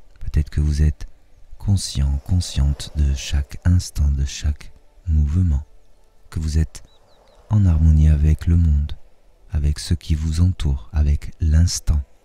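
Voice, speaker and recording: A somewhat breathy man's voice, very deep and low, with a dark, mellow, soothing and gentle tone, fairly even intonation, a very slow pace and long, frequent pauses. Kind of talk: guided hypnosis meditation. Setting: nature sounds of birds and waves in background. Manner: soothing, slow, gentle, dreamy.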